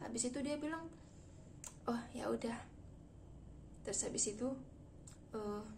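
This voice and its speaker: A woman speaks at a high pitch with ordinary variation, pausing long and often. Noticeable background noise and audible room echo surround her voice. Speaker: vlogger. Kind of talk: casual storytelling vlog. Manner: fast.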